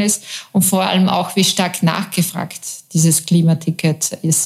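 Using an ordinary speaking voice, a woman speaks at a fairly slow pace, fairly low in pitch and fairly even in intonation. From Upper Austria, Mühlviertel near Bavarian and Czech border. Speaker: journalist, newspaper deputy editor-in-chief. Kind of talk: interview.

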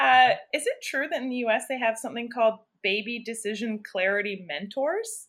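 A woman with a plain, everyday voice, fairly high in pitch with ordinary variation, speaks at a fairly quick pace on a very clean recording with a silent background. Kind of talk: casual chat.

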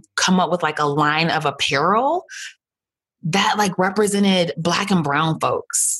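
An unremarkable speaking voice from a woman with an American accent, fairly slow pace and ordinary pitch variation. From US. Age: 30s. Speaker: former doula, online shop owner. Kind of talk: casual interview chat.

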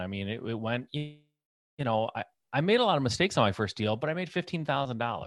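With an American accent, a man uses a normal speaking voice at a medium pitch, talking at a fairly quick pace with lively intonation, in a dry, close sound with no echo and a quiet background. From Michigan, US. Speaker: real estate investor. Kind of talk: interview.

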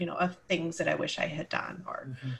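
Noticeable background noise sits under this recording. A woman speaks with lively intonation. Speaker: podcast host and empowerment coach. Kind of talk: casual interview chat. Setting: video call recording. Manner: animated, laughs often.

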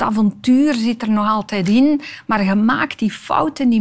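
Somewhat breathy, a woman with a fairly high pitch talks at a fairly slow pace with ordinary pitch variation. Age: 50s. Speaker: tv maker and storyteller. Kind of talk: interview conversation.

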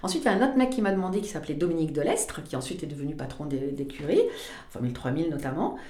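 Very deep, low-pitched speech from a woman, very fast and lively in intonation, with audible room echo. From southwestern France, Pau. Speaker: motoring journalist. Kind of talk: casual chat.

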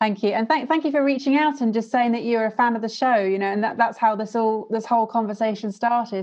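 A woman with a British accent talks very fast with hardly any pauses, her pitch fairly high and her pitch variation ordinary. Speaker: podcast host. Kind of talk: casual interview chat.

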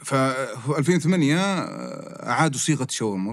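This is a man talking at a medium pitch. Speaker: restaurant chain executive. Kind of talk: casual interview. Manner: animated.

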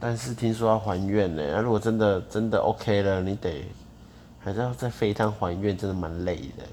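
The man's voice sits fairly low, with a dark, mellow tone. He moves at a moderate pace with ordinary pitch variation. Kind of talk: casual chat. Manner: rambling, disorganized.

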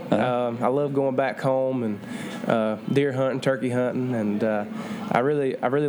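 Over noticeable background noise and audible room echo, a man with a Southern US accent speaks at a moderate pace with fairly even intonation. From Georgia, US. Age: 20s. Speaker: country singer. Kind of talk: interview.

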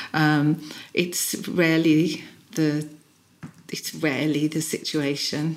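Speaking with a British accent, a woman uses a very deep, low pitch and a monotone, flat delivery, moving at a very slow pace with long, frequent pauses. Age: 60s. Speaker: executive and personal coach. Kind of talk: interview.

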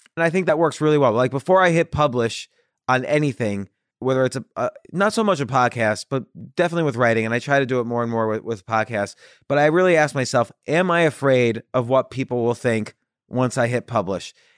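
A man with a plain, everyday voice talks at a fairly quick pace and a medium pitch, with lively intonation. The recording is very clean, dry and close, with a silent background and no echo. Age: 40s. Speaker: entrepreneur and author. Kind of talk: interview.

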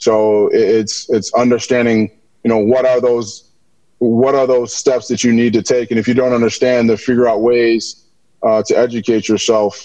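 An American accent marks this man's speech, at a moderate pace. His pitch is medium and his tone dark and mellow. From Minneapolis, Minnesota, US. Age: 40s. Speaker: former basketball player and team executive. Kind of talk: interview conversation. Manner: frequent hesitations and fillers.

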